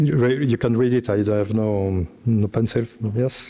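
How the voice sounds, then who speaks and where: This is a man talking. He speaks with a French accent. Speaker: computer scientist, panelist. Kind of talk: round table presentation. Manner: halting.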